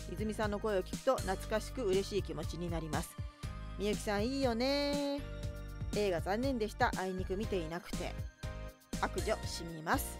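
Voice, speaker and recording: Over clear music in the background, a woman speaks at a moderate pace with a dry sound and no echo. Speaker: narrator and writer; radio host. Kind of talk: late-night radio talk show. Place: studio.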